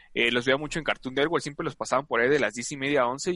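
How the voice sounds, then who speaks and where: At a very fast pace, a man with a bright, sharp tone speaks at a medium pitch with ordinary pitch variation. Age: 20s. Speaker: sports comedy podcast co-host. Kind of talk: casual comedic chat.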